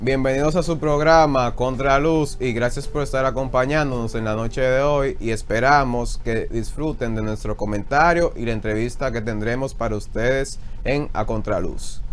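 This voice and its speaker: With hardly any pauses, a man with an unremarkable speaking voice talks at a moderate pace, medium pitch and fairly even intonation. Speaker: TV host. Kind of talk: interview questions.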